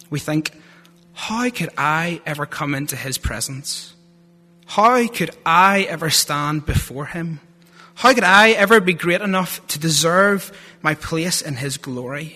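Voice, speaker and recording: A man's high, bright, sharp voice in a strong Northern Irish accent, with lively intonation and a fairly slow pace. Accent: Northern Irish, thick. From Northern Ireland (Lurgan). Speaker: theology student giving a sermon. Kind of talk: sermon. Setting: church.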